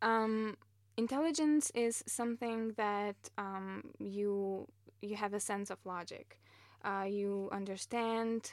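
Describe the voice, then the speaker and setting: In a very clean recording with a silent background, a woman with a non-native accent speaks very slowly at a medium pitch with ordinary pitch variation. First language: not English. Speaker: master's student in AI. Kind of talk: interview.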